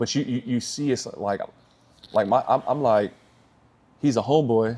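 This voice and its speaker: This man has a dark, mellow tone at a medium pitch. His pace is moderate. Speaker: sales coach and entrepreneur. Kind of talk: casual business coaching chat. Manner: loud; animated.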